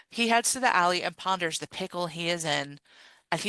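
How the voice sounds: Ordinary variation in pitch within a natural reading voice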